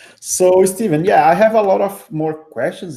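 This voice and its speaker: Speaking fairly slowly, a man talks with a Portuguese accent. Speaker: community meetup host. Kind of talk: online talk Q&A.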